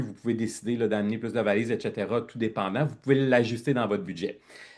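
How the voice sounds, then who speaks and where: Against a quiet background, a man with a Quebec accent talks at a fairly quick pace. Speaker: network marketing team leader. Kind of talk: online presentation. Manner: loud; animated.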